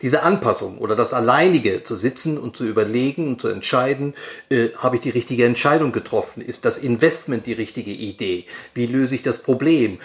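Speaking at a fairly quick pace, a man with a medium pitch uses ordinary pitch variation. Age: 60s. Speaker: advertising agency managing director. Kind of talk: interview. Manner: hesitant, repeats words.

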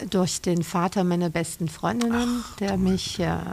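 A woman talks at a fairly slow pace and medium pitch in an ordinary speaking voice. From Bavaria, Franconia (south of Nuremberg). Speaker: writer and journalist. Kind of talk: casual interview. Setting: outdoors on a terrace.

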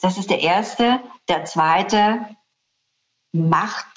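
Here a woman speaks at medium pitch. Her pitch varies in an ordinary way. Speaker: corporate communications executive. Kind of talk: interview.

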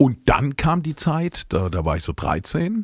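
A man speaks with lively intonation in a somewhat breathy voice. The sound is dry and close with no echo, in a very clean recording with a silent background. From Palatinate, Germany (Speyer). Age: 50s. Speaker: singer-songwriter. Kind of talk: casual interview chat.

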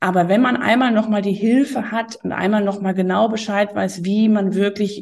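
A woman's voice sits at a medium pitch and is somewhat breathy. She keeps a moderate pace, and her pitch varies in an ordinary way. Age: 40s. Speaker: tax advisor. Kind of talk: interview. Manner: hesitant, many fillers.

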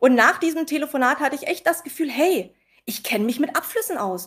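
The recording is very clean with a silent background. A woman speaks with lively intonation. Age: young. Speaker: pharmacy technician. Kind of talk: casual interview with anecdotes.

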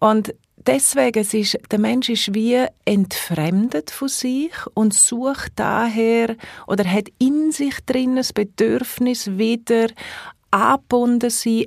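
A woman with a Swiss accent speaks at a very slow pace and a fairly high pitch, in a dry, close sound with no echo. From Switzerland, Engadin. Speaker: holistic therapist and coach. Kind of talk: casual interview. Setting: studio.

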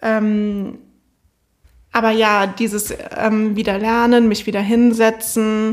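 The woman's voice sits fairly high in pitch and stays monotone, with flat intonation. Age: 20s. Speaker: university student, former business graduate. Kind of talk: interview. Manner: hesitant with frequent fillers.

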